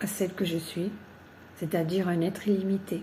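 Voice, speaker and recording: A woman speaks in a dark, mellow tone that is somewhat breathy. Her intonation is monotone and flat. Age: 70s. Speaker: workshop participant. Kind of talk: testimony. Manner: hesitant, with frequent fillers.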